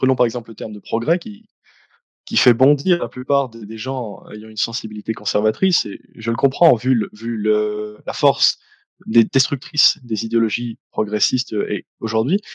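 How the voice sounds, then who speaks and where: A man speaks at a fairly slow pace with medium pitch and ordinary pitch variation, in an ordinary speaking voice. The sound is dry and close, with no echo. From Belgium, Liège. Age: 20s. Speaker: YouTuber, philosophy student. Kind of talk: interview.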